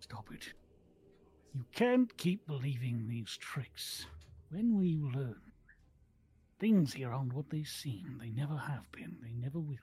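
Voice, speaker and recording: In a put-on character voice with a low-to-middle pitch, the speaker moves at a fairly slow pace with long, frequent pauses. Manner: paranoid, muttering, confused.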